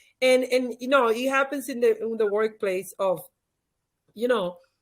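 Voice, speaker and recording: A woman with a high pitch and a Spanish accent speaks at a fairly slow pace with ordinary pitch variation in a very clean recording with a silent background. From Dominican Republic. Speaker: author and leadership expert. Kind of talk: interview.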